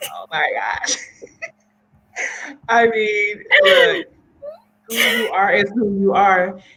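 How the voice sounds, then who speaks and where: Shouting at a very slow pace, the speaker leaves long, frequent pauses, and the loudness swings widely. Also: woman. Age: 40s. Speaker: talk show host. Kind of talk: casual chat.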